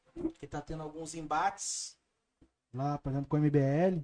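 At a moderate pace, a man speaks in a fairly high pitch. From Brazil, Barra Mansa (Rio de Janeiro state). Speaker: podcast host. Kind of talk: interview.

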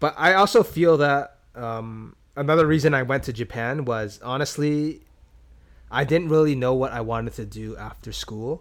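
A man with a Canadian accent and an unremarkable speaking voice talks at a moderate pace with ordinary pitch variation. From Canada, Toronto. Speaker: podcaster. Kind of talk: casual chat.

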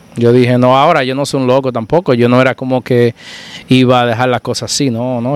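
A man's medium-pitched, monotone, flat voice at a very fast pace, with noticeable background noise. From Dominican Republic, rural Santiago province. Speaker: barber turned entrepreneur. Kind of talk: casual chat.

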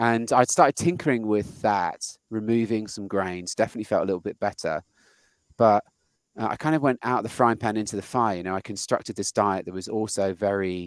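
A man with a British accent speaks at a fairly quick pace in a fairly low pitch with ordinary pitch variation. The recording is very clean with a silent background, and the sound is dry and close with no echo. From Britain. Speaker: podcast host and software engineer. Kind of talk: casual interview.

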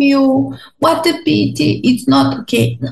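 A woman speaks with music in the background. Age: 20s. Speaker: translator. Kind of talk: interview.

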